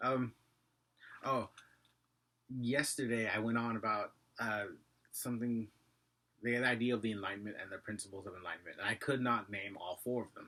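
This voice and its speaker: With a bright, sharp tone and medium pitch, a man talks at a fairly quick pace with fairly even intonation, big swings in loudness and long, frequent pauses. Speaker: vlogger. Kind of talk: casual vlog monologue. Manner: fast.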